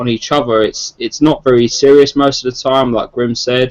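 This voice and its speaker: In a London accent, a man talks fairly quickly at a medium pitch with fairly even intonation, the sound dry and close with no echo. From South East London, England. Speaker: gaming podcast panelist. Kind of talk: casual chat. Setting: online group video call.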